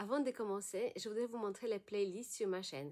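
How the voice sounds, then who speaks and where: In a Polish accent, a woman speaks at a fairly high pitch. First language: Polish (speaking French). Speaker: bilingual education coach. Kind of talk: channel intro.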